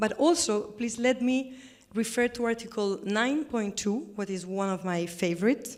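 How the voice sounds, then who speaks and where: A woman talks in a Spanish accent with a fairly high pitch. Her pace is moderate and her pitch variation ordinary. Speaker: government representative. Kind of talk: panel discussion. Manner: halting.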